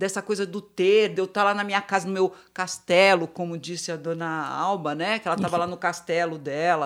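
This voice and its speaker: With a plain, everyday voice, a woman speaks at a fairly quick pace and fairly low pitch, with fairly even intonation and hardly any pauses, on a very clean recording with a silent background. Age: 50s. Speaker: psychologist and gerontologist. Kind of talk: panel discussion.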